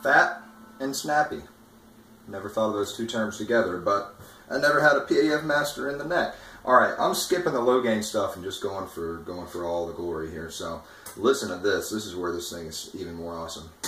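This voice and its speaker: A man with a fairly low pitch speaks at a fairly quick pace, with very wide pitch swings and big swings in loudness. Noticeable background noise and audible room echo fill the recording. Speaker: guitarist demoing gear. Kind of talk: product demo. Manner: animated.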